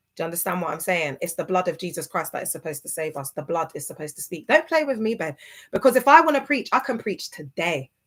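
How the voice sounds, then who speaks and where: In a very clean recording with a silent background, a woman talks at a very fast pace in an animated tone, with very wide pitch swings. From UK. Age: 30s. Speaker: ex-church member turned social media creator. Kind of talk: livestream rant. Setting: livestream.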